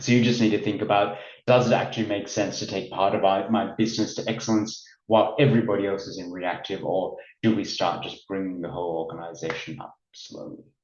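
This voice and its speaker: Recorded with audible room echo, a man with a slight Australian accent speaks at a very fast pace and fairly low pitch. His pitch varies in an ordinary way, while his loudness swings widely. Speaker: business consultant. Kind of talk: webinar presentation. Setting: online webinar.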